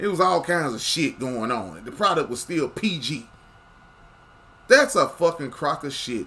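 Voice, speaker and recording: The speaker uses vocal fry and very wide pitch swings. The pace is fairly slow, with long, frequent pauses. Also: man, fairly high pitch for a man, big swings in loudness. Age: 40s. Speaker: wrestling commentary youtuber. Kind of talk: casual rant to camera. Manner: animated; stammering repetitions.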